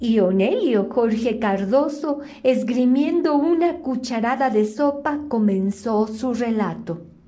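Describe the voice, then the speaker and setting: A woman with a high voice speaks at a very slow pace with hardly any pauses, her gentle tone carrying lively intonation over noticeable background noise. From Mexico City. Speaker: storyteller, reciter. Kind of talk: bedtime story telling, reading aloud. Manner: soft, sweet, gentle, childlike diminutives.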